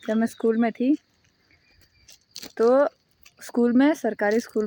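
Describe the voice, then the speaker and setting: This woman has a high-pitched voice and a moderate pace, and the sound is dry and close with no echo. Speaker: YouTuber. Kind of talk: casual vlog monologue. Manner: casual, conversational.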